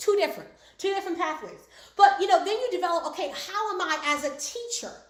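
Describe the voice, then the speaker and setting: An animated woman's extremely high voice with lively intonation and audible room echo. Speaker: speaking coach. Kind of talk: online class. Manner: fast.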